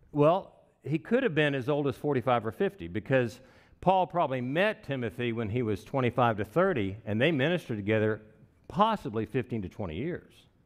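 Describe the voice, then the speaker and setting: A man with a Texan accent talks at a fairly quick pace. His medium pitch moves in very wide swings. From Texas (Wichita Falls). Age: 60s. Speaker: pastor. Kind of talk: sermon. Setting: church.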